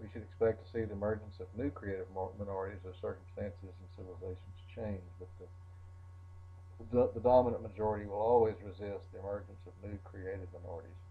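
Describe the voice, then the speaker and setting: A man with a very deep, low pitch speaks at a very fast pace, somewhat breathy, in a monotone, flat intonation with big swings in loudness. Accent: American. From Arkansas. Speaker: college lecturer. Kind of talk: recorded lecture.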